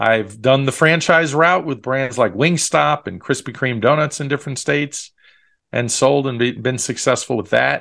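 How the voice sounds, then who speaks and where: A man with an American accent speaks at a moderate pace in a medium pitch, his bright, sharp tone carrying vocal fry and ordinary pitch variation over a quiet background. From Long Island, New York. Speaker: franchise consultant. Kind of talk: interview.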